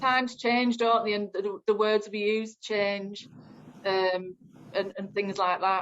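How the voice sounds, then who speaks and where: A woman's medium-pitched, very slow delivery in a Northern English accent, monotone and flat. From northern England. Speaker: community engagement officer. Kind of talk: group discussion. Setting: video call.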